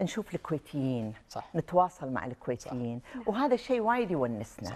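Her voice has a dark, mellow tone, and this woman's pitch swings very widely. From Kuwait. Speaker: writer; guest. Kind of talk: TV talk show interview. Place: studio.

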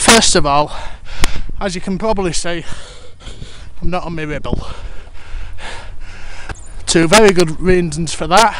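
Recorded dry with no echo and noticeable background noise, the voice moves at a moderate pace broken by long, frequent pauses. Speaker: cyclist. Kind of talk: casual talk to camera while cycling. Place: bicycle. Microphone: helmet.

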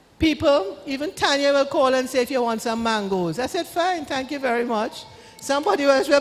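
A woman talks at a fairly quick pace with lively intonation and a high pitch. Noticeable background noise runs underneath. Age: 70s. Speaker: law-trained speaker on wills and trusts. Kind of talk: church town hall talk with Q&A.

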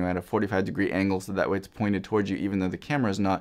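Over a quiet background, a man speaks at a fairly low pitch. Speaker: product reviewer. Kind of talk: product review talk. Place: studio.

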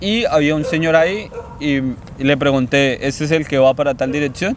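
With a Colombian accent and a fairly high pitch, a man is heard in a dry sound with no echo and light background noise. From Colombia, Meta department. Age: 20s. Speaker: university student. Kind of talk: interview. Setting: outdoors in a park. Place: garden.

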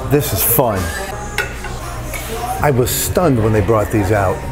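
Male speech with noticeable background noise. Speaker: food vlogger. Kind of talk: casual vlog chat. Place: cafe. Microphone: phone near.

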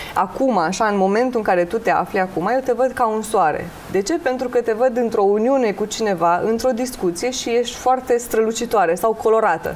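A woman speaks fairly quickly in a normal speaking voice, fairly high in pitch, with hardly any pauses and ordinary pitch variation. Her loudness stays very even over light background noise. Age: 30s. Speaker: tarot and face-reading specialist; guest. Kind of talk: TV talk show interview. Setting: TV studio. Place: studio. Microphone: lapel.

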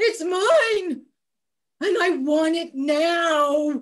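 A woman uses a put-on character voice at an extremely high pitch. Her pitch varies in an ordinary way. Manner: whiny, demanding.

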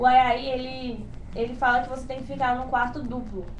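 With a Brazilian accent, a high-pitched woman talks at a moderate pace over noticeable background noise. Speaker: exchange student. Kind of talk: informational webinar.

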